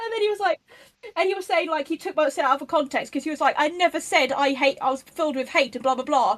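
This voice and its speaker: A woman with a high pitch speaks using lively intonation. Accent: English. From England. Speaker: online activist. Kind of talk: casual chat. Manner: animated.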